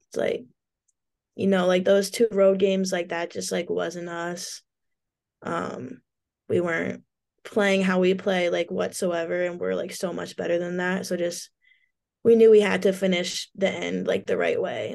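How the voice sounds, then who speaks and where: Against a quiet background, a woman with an American accent speaks with long, frequent pauses. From US Pacific Northwest. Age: young. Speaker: college basketball player. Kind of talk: interview.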